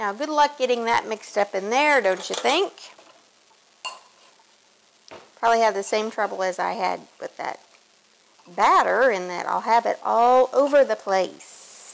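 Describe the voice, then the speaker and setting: A woman at a fairly slow pace, with long, frequent pauses. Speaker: home cook host. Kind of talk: cooking tutorial. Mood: relaxed, self-deprecating. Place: kitchen. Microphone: lapel.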